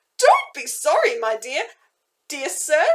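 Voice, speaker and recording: Squeaky and excited in tone, a woman uses a put-on character voice with very wide pitch swings. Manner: gleeful, excited.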